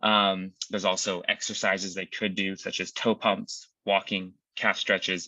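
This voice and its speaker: A man's very deep, low voice in a monotone, flat intonation. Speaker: clinician presenting a care project. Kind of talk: presentation. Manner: fast.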